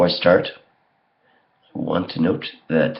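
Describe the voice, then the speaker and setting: This man speaks at a fairly slow pace. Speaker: vlogger. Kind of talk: casual vlog explanation. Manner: casual with frequent fillers.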